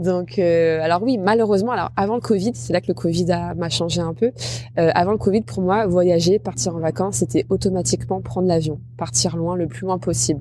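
Noticeable background noise sits under a woman's fairly low voice. She speaks at a moderate pace with lively intonation. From Normandy, France (Rouen). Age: 30s. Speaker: travel and food content creator. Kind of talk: interview.

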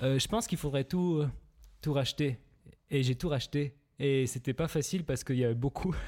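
Speaking at a fairly quick pace with long, frequent pauses, a man with a fairly high pitch keeps his loudness very even and his pitch variation ordinary. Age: 20s. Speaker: film director, production company co-founder. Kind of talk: casual chat.

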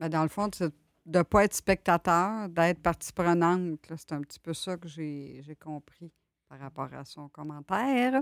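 Speaking fairly slowly with a Quebec accent, a woman with a fairly low pitch shows big swings in loudness on a very clean recording with a silent background and a dry, close sound with no echo. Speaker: administrative assistant. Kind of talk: casual chat.

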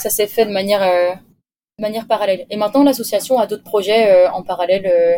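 A woman talks at a fairly quick pace with a dark, mellow tone and a medium pitch. Her intonation stays fairly even. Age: 20s. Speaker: engineering graduate, expedition crew member. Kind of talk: interview. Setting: remote call from a moored sailboat.

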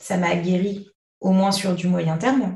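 A woman speaks at a medium pitch and a very slow pace. Her voice is somewhat breathy, and the room echo is audible. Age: 20s. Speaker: hypnotherapist, mother of two. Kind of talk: personal testimony in interview.

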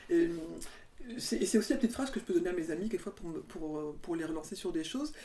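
A woman's medium-pitched voice, dark and mellow in tone, with very wide pitch swings and a very fast pace. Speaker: podcast host. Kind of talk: casual interview chat. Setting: recorded in guest's home.

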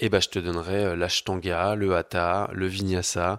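Very deep and low, a man's voice moves at a fairly slow pace. The recording is very clean, with a silent background and a dry, close sound with no echo. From France, Paris. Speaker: yoga teacher. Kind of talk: casual interview.

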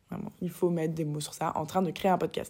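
A woman's animated tone comes through a very clean recording with a silent background. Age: 20s. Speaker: podcaster. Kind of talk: casual monologue. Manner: animated, smiling intonation; hesitant, many fillers.

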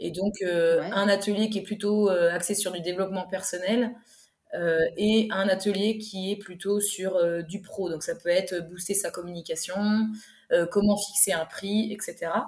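The woman's voice is medium-pitched and somewhat breathy. She speaks at a fairly slow pace with flat, monotone intonation. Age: 30s. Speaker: food truck owner. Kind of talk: interview. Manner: halting.

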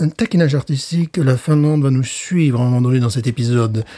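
Recorded with a dry, close sound and no echo, a man speaks in a dark, mellow tone. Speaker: podcast co-host, beer reviewer. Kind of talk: casual chat. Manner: animated.

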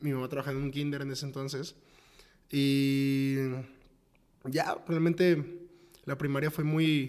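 Speaking at a fairly slow pace in a monotone, flat intonation, a man leaves long, frequent pauses. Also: fairly high pitch for a man. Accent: Mexican. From Mexico, Tepic, Nayarit. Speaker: startup co-founder. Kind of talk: interview.

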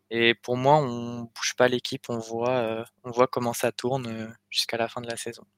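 A man's medium-pitched, monotone voice at a fairly slow pace, flat in intonation, in a dry, close recording with no echo and a very clean, silent background. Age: 20s. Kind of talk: casual chat.

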